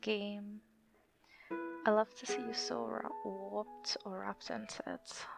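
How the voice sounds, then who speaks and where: A woman's voice with music in the background. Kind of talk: love letter read aloud to husband. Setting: home recording, poor audio. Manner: whispered.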